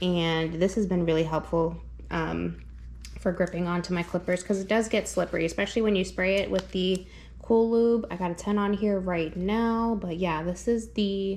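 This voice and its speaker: A woman speaks at medium pitch and a moderate pace. Her intonation stays fairly even. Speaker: dog groomer. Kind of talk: product walkthrough tutorial. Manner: loud; casual, filler-heavy.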